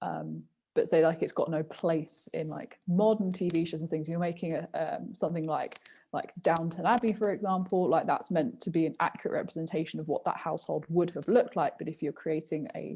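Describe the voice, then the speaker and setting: Dark and mellow in tone, a woman's fairly low, somewhat breathy voice moves at a fairly quick pace with ordinary pitch variation. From southern England, near London. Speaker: podcast co-host, university student. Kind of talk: casual chat. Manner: hesitant, many fillers.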